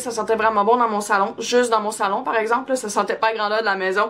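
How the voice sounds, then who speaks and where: The speaker is a woman. Her pace is fairly quick. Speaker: beauty vlogger. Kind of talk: product review vlog. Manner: casual, many fillers.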